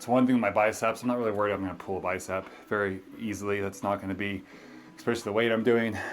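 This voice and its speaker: A very fast-talking man with an American accent, fairly low in pitch, with fairly even intonation. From US West (central California). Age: 40s. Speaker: fitness vlogger. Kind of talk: workout vlog commentary. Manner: casual, counting reps.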